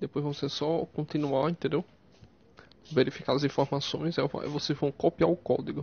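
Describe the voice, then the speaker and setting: A man speaks at a moderate pace with fairly even intonation. His voice sounds somewhat breathy. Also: fairly high pitch for a man. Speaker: YouTuber. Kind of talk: tutorial. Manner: halting.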